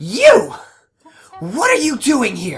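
Music plays in the background behind a put-on character voice. It is gruff and fairly high in pitch. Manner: confrontational, grieving.

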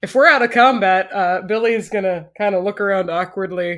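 On a very clean recording with a silent background, a woman talks at a fairly quick pace. She has an ordinary speaking voice with ordinary pitch variation. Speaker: tabletop game player. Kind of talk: tabletop roleplaying podcast.

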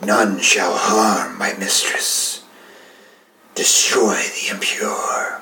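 At a very slow pace, a man performs a raspy, put-on character voice. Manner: hissing, menacing.

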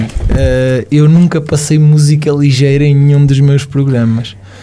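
Speech comes at a moderate pace amid noticeable background noise. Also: man, very even loudness. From Portugal, Caldas da Rainha. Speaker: radio presenter. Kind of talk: casual interview chat. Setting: studio.

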